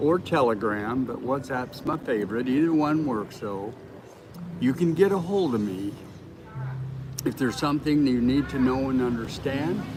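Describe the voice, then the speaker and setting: A man talks with noticeable background noise and audible room echo. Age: 70s. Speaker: nutritional healing consultant. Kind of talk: live stream chat. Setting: livestream.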